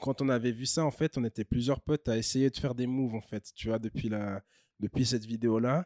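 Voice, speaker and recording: A man's dark, mellow voice at a fairly quick pace, fairly even in intonation, dry and close with no echo, on a very clean recording with a silent background. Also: medium pitch for a man. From French-speaking Switzerland, Bussigny near Lausanne. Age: 30s. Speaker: DJ and breakdancer. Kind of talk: casual interview.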